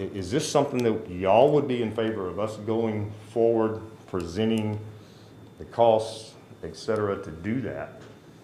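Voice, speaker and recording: Speaking at a moderate pace in a fairly low pitch, a man is heard with audible room echo. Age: 50s. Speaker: citizen addressing city council. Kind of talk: public comment at council meeting.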